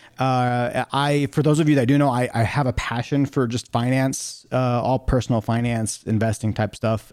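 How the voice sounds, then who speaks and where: In an unremarkable speaking voice, a man at medium pitch keeps a moderate pace, fairly even intonation and very even loudness with hardly any pauses, the sound dry and close with no echo. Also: very clean recording, silent background. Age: 30s. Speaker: podcast host and certified athletic trainer. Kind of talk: solo podcast monologue. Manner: casual, with many fillers.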